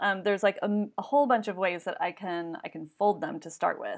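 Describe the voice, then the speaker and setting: In a normal speaking voice, a woman of medium pitch talks at a moderate pace. Her pitch varies ordinarily against a quiet background. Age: 40s. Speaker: small business owner. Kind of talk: interview.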